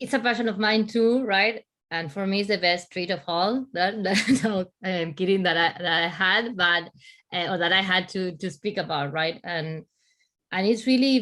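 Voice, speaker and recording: With an Argentine accent, a woman talks at a moderate pace, her medium pitch showing ordinary variation. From Argentina. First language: Spanish. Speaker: conference speaker, business leader. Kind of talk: panel discussion. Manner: halting, many false starts and repetitions.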